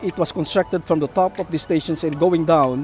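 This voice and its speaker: A man's high-pitched voice, dry with no echo, faint music in the background. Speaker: site-visit vlogger. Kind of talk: casual vlog commentary. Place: street. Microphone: phone near.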